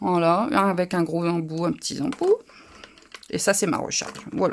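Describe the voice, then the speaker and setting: A woman in a northern French accent at a fairly slow pace, on a very clean recording with a silent background. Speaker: crafting youtuber. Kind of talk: live craft tutorial. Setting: livestream. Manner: casual, halting with fillers.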